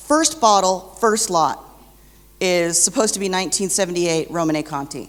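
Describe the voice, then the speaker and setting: Her pace is moderate as a woman talks at medium pitch with ordinary pitch variation. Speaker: wine counterfeit expert speaker. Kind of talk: conference presentation. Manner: loud.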